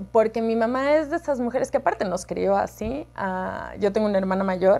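A woman with a Cuenca Ecuadorian accent talks at a moderate pace. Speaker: herpetologist. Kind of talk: casual interview. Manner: animated. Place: office. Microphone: lapel.

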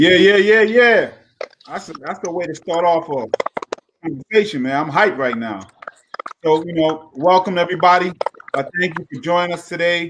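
A man with an American accent, high-pitched, at a moderate pace, with ordinary pitch variation, big swings in loudness and noticeable background noise. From New York City, Brooklyn. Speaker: panel moderator and city official. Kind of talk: panel discussion moderation. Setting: online video panel. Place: home room. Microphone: video call.

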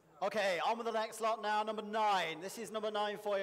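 A man's enthusiastic tone. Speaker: auction lot presenter. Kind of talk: sales pitch. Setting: auction ring with live audience. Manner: enthusiastic, repeats 'very, very' to hype the lot. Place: hall.

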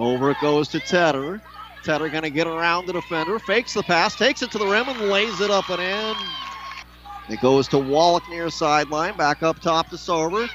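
With an animated tone and a high pitch, a man talks fairly quickly with ordinary pitch variation, the sound dry with no echo but with noticeable background noise. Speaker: play-by-play announcer. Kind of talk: live commentary. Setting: arena broadcast. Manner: fast-paced play-by-play delivery; animated, rising on big shots. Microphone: headset.

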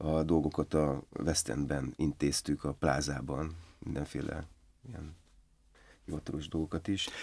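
His pitch very deep and low, a man talks at a fairly slow pace with vocal fry and fairly even intonation. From eastern Hungary, Debrecen; eastern Hungary. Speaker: film and theatre director; podcast guest. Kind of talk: casual interview. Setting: studio. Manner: halting, many repetitions. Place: studio. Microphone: studio mic.

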